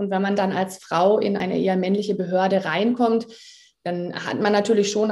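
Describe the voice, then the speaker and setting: Her voice is medium-pitched with a dark, mellow tone. This woman speaks at a fairly quick pace with monotone, flat intonation. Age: 30s. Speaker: law lecturer at a police academy. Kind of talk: podcast interview. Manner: frequent filler sounds.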